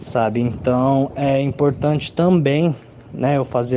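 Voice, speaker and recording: Over noticeable background noise, a man speaks at a very slow pace and a medium pitch. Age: 20s. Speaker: psychologist and musician. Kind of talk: testimony.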